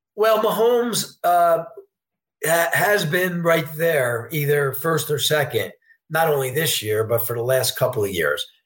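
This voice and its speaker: Speaking at a fairly slow pace, a man with an unremarkable speaking voice and a fairly high pitch uses lively intonation. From New York State, Poughkeepsie. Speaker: sportsbook director. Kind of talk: interview.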